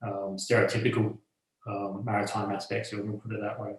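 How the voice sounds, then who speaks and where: This man talks at a moderate pace with an Australian accent, his voice somewhat breathy and his intonation monotone and flat. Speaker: bar owner and rum brand co-owner. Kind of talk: interview. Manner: halting, many fillers.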